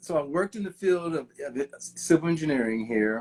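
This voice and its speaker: An unremarkable speaking voice from a man, at a moderate pace with ordinary pitch variation. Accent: American. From Kansas, US Midwest. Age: 60s. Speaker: civil engineer. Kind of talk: interview conversation.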